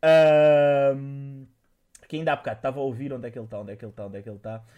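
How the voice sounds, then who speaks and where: A man's fairly high-pitched voice, dark and mellow in tone, at a very fast pace over a quiet background. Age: 30s. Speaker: podcast host and streamer. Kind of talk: casual chat.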